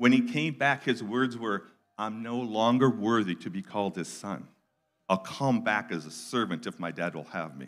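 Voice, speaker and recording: A man's fairly low-pitched voice at a moderate pace, with big swings in loudness over a quiet background. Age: 60s. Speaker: guest preacher. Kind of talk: sermon. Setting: church with live audience. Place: church. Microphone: handheld.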